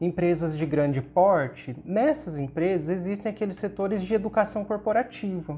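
High-pitched for a man, this male voice has a dark, mellow tone, ordinary pitch variation and a moderate pace. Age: 30s. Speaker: professor. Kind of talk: interview.

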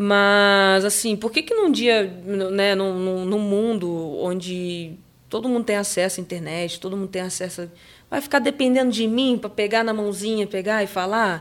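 A woman talks at a moderate pace in a normal speaking voice. Her pitch is medium and varies in an ordinary way. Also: very clean recording, silent background. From Brazil, moved around São Paulo state and Macaé. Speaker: skateboarder. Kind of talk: casual interview.

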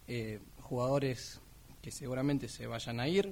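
A man speaks in a somewhat breathy voice. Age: 20s. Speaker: sports radio panelist. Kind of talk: casual sports talk radio.

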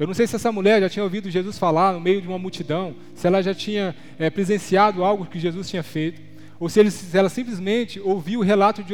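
Here a man talks at a very fast pace. His pitch is high and his intonation fairly even. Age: 30s. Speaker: lay preacher. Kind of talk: sermon. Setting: church.

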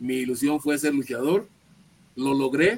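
Rather unhurried speech with noticeable background noise. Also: man. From northern Mexico, Ciudad Juárez, Chihuahua. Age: 70s. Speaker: retired pro wrestler. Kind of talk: interview.

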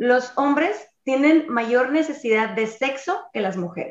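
With lively intonation, a woman talks in a high pitch. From Sonora, Mexico. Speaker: podcast host. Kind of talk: casual chat; reading aloud.

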